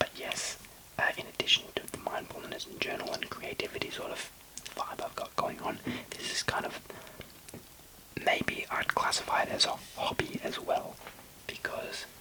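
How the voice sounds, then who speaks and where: A man whispering, with long, frequent pauses and noticeable background noise. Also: moderate pace. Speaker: ASMR creator. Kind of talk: whispered ASMR ramble.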